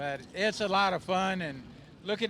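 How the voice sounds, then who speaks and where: Bright and sharp in tone, a man's high-pitched voice moves with ordinary pitch variation. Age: 70s. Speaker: retired racing driver. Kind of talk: trackside interview. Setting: in race car on track.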